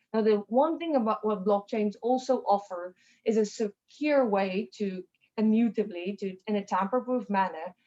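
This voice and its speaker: A woman's fairly high voice, dark and mellow in tone, with ordinary pitch variation and a moderate pace. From South Africa. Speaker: tech company CEO. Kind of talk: interview.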